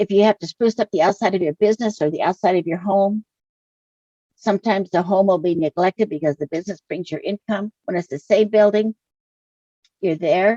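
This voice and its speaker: The voice has an American accent and a dark, mellow tone, moving at a fairly quick pace with ordinary pitch variation. The sound is dry and close, with no echo. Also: woman. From Idaho, US Northwest. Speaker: author and small business owner. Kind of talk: interview.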